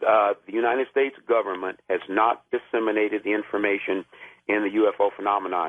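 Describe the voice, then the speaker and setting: In a fairly low pitch, a man talks at a very fast pace with fairly even intonation and very even loudness. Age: 60s. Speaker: caller, military veteran. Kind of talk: call-in radio talk. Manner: halting, many fillers.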